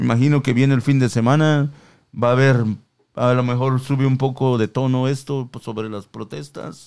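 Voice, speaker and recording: An animated tone at a moderate pace. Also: man, medium pitch for a man, very clean recording, silent background. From Mexico. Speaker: podcast co-host. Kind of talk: casual chat. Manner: animated, slangy.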